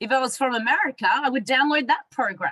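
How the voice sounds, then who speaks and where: In a raised, projected voice, a woman with a high pitch and very wide pitch swings speaks at a moderate pace, her tone bright and sharp and the sound dry and close with no echo. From Australia. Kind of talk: training talk.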